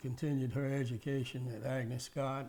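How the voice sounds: Slightly mellow tone at a moderate pace, with audible room echo. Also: man.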